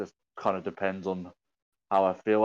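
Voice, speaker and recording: A man with a British accent speaks at a moderate pace with a very deep, low pitch, in a dry, close recording with no echo and a quiet background. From UK. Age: 20s. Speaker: content creator and streamer. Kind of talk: casual chat.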